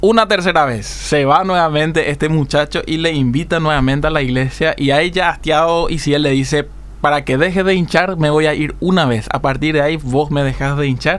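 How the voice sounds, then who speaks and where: A man with an ordinary speaking voice talks at a fairly high pitch and a fairly quick pace, with hardly any pauses. His loudness stays very even and his intonation fairly even. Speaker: radio co-host, sports segment. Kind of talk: sports news and story on radio.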